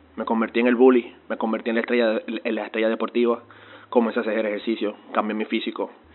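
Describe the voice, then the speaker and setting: A man is speaking. He goes at a very fast pace. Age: 20s. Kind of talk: testimony. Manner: halting, frequent word repetitions.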